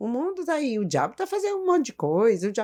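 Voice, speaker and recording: The recording is very clean, with a silent background. A woman's voice moves through very wide pitch swings. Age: 60s. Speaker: church teacher and therapist. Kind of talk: interview testimony.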